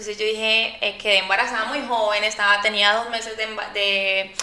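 Over noticeable background noise, a woman talks in a monotone, flat intonation. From Colombia (Antioquia family). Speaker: chef and cooking competition winner. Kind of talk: interview. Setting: studio.

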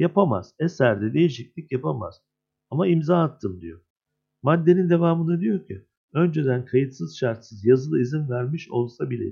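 Against a quiet background, a man with a medium pitch and a dark, mellow, somewhat breathy tone speaks at a moderate pace, with very wide pitch swings and big swings in loudness. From Turkey, Adana. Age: 50s. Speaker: screenwriter and union head. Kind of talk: interview.

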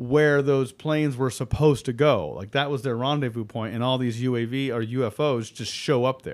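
With an American accent, the speaker has an unremarkable speaking voice, ordinary pitch variation, and a moderate pace. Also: man. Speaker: podcast co-host. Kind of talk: casual chat.

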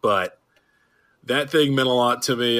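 A man speaks at a moderate pace in a bright, sharp tone. His intonation stays fairly even. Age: 20s. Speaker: guest podcaster, co-host of another roller coaster show. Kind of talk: casual chat.

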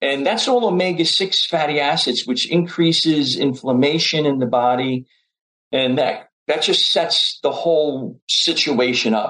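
A man speaks in an unremarkable speaking voice, pitched fairly high, with ordinary pitch variation. His loudness stays very even. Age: 60s. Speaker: chiropractic physician and nutrition professor. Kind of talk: casual chat.

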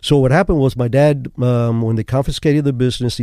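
Very fast speech in a dark, mellow tone with ordinary pitch variation. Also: man. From Cuba. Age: 70s. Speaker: former CIA officer and author. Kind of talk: casual interview chat. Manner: halting, repeats words.

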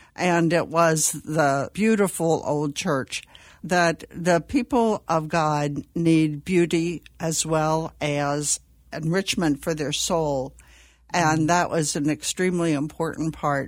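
A woman with an American accent, very deep and low in pitch, at a very slow pace with fairly even intonation, in a very clean recording with a silent background. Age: 70s. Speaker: Benedictine nun. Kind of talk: panel interview, casual chat.

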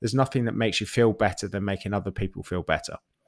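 A man speaks with fairly even intonation on a very clean recording with a silent background. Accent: British. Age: 30s. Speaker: fitness coach. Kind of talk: casual chat.

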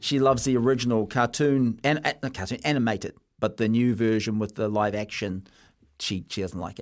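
A man speaks at medium pitch and a fairly quick pace on a very clean recording with a silent background. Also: ordinary pitch variation. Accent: New Zealand. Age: 20s. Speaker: sports radio host. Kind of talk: casual radio chat.

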